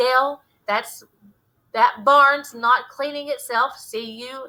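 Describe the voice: Using a put-on character voice, a woman speaks slowly at a high pitch with fairly even intonation and a bright, sharp tone.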